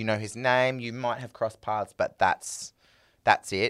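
The recording is very clean, with a silent background. A man speaks at a moderate pace with an Australian accent. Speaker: singer. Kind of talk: casual chat.

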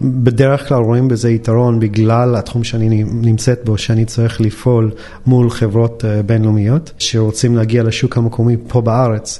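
A man with a slight American accent speaks at medium pitch and a moderate pace, his intonation monotone and flat and his loudness very even. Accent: mild American accent in Hebrew. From United States. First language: English (speaking Hebrew). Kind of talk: interview.

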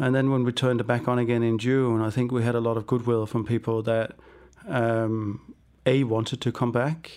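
A man with a Danish accent, medium pitch, moderate pace, flat monotone delivery and very even loudness, in a very clean recording with a silent background. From Denmark. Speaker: business founder. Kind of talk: interview. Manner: halting.

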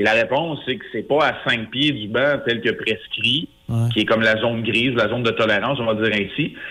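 A man has a normal speaking voice, talking at a fairly quick pace and a medium pitch with fairly even intonation. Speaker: hockey analyst. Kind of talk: radio interview.

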